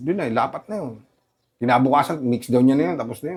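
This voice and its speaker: The speaker is a man with lively intonation. He goes at a fairly quick pace. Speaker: rapper. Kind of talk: interview. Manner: halting.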